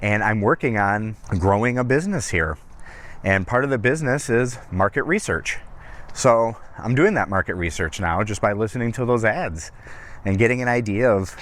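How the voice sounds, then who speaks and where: Here a man has an ordinary speaking voice, pitched at a medium level and delivered at a moderate pace. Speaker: aspiring voice actor. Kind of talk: casual talk to camera. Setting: outdoors, lavalier mic while walking.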